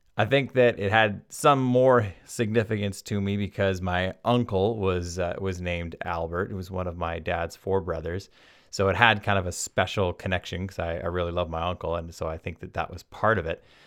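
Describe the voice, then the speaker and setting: With a British Columbian accent, a man with a very deep, low pitch talks at a moderate pace with hardly any pauses and ordinary pitch variation, in a very clean recording with a silent background. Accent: Canadian (British Columbia). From Vancouver Island, Canada. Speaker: podcast host. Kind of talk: casual storytelling monologue. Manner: enthusiastic.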